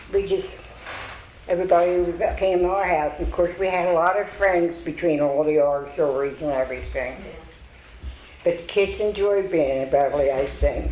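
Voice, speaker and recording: A woman with an American accent speaks at a fairly low pitch and moderate pace, with ordinary pitch variation. Noticeable background noise and audible room echo fill the recording. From southern New Jersey (Burlington County). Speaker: longtime local resident. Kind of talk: storytelling talk. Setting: stage with audience.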